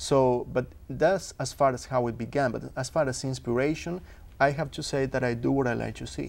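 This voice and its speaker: In a Uruguayan accent, a man speaks at a moderate pace. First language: Spanish. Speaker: filmmaker. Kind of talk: talk show interview.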